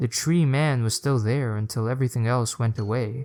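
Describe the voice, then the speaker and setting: A man speaks in a normal speaking voice, pitched in the medium range, his intonation fairly even. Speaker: storyteller. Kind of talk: horror story narration.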